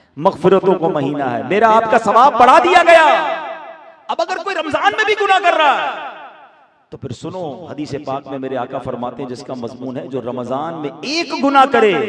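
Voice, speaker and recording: Amid noticeable background noise, a high-pitched man speaks with very wide pitch swings and big swings in loudness. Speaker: Islamic preacher. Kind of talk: Islamic sermon (bayan) to a live audience.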